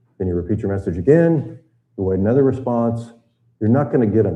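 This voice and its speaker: Lively intonation marks this voice with an American accent, heard with audible room echo. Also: man. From US South, Tennessee. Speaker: retired naval officer and boating instructor. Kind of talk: seminar lecture. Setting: seminar room with live audience and live stream.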